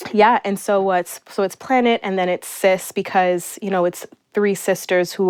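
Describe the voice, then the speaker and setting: An ordinary speaking voice with an American accent, recorded dry and close with no echo over a quiet background. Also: woman. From New York City (Astoria, Queens). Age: 30s. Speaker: small business owner. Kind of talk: interview. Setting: in the host's apartment.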